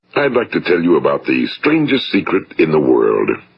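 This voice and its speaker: The speaker talks at a moderate pace. The voice comes with an American accent. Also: man. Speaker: motivational speaker and broadcaster. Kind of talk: motivational speech. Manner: compelling, thought-provoking.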